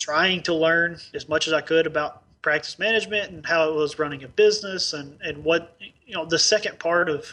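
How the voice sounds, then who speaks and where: The speaker has an Arkansas accent and a fairly quick pace. Intonation stays fairly even, with hardly any pauses. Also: man, fairly high pitch for a man. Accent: Southern US (Arkansas). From Northeast Arkansas, US South. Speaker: dentist, practice owner. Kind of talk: interview.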